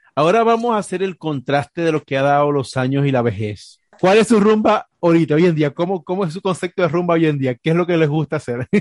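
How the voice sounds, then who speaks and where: Lively intonation and a fairly high pitch mark this man's very fast delivery. He leaves hardly any pauses, and the sound is dry and close with no echo. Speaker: podcast co-host. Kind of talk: casual chat.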